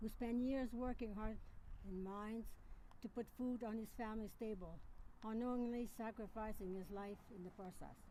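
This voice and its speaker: Heard with audible room echo, a woman with a fairly high pitch and a dark, mellow tone speaks at a moderate pace in a monotone, flat intonation. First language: French. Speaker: miner's widow giving tribute. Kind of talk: memorial speech. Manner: halting.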